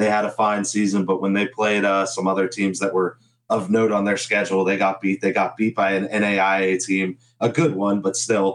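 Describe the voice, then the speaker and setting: The voice holds a monotone, flat intonation and very even loudness at a moderate pace. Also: man, fairly low pitch for a man. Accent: American. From US Midwest, Northeast Ohio. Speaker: sports betting podcast co-host. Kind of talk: casual sports betting chat.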